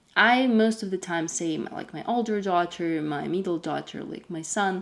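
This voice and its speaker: A woman speaks at a moderate pace in a Russian accent, her pitch medium with ordinary variation. Her loudness swings widely. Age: 20s. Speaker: homemaker vlogger. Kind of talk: casual Q&A vlog.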